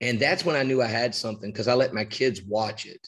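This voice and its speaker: An animated man with an American accent, medium pitch and ordinary pitch variation. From West Virginia. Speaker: high school basketball coach. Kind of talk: casual interview on coaching.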